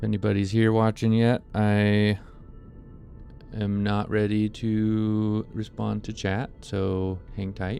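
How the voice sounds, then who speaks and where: Music plays in the background as a man talks at a very slow pace. His fairly low voice stays flat and monotone. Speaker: video game streamer. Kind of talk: casual stream setup talk. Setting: live stream. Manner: loud.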